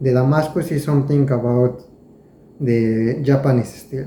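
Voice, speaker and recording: A man's fairly high voice with a Spanish accent, at a fairly slow pace, amid audible room echo and noticeable background noise. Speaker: knife collector, video creator. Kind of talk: casual show-and-tell tutorial. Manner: halting, with hesitations and repeated words.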